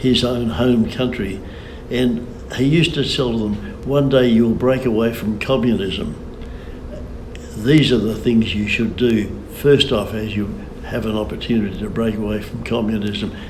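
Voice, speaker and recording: Noticeable background noise sits behind a man with an Australian accent talking at medium pitch. He speaks at a fairly slow pace with ordinary pitch variation and long, frequent pauses. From Kalgoorlie, Western Australia. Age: 80s+. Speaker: mining businessman. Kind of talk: interview answer.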